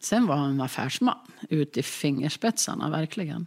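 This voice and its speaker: This woman speaks very slowly. The rise and fall of her pitch is ordinary. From Jämtland, Sweden. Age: 60s. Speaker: local politician. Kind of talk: documentary interview. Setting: kitchen table in an apartment.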